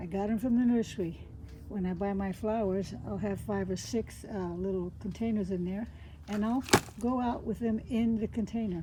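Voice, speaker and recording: Noticeable background noise sits under this voice. It moves at a moderate pace with fairly even intonation. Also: woman, medium pitch for a woman. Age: 70s. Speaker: lifestyle vlogger. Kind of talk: tutorial. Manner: casual, chatty.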